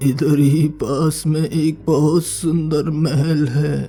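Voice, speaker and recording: A man speaks in a cartoonish character voice at a fairly high pitch and a very slow pace, with clear music playing in the background. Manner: calm, friendly.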